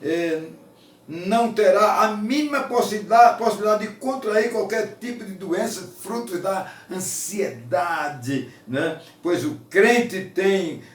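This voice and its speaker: Against noticeable background noise and audible room echo, a man talks at a high pitch with lively intonation. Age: 70s. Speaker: preacher. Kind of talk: sermon.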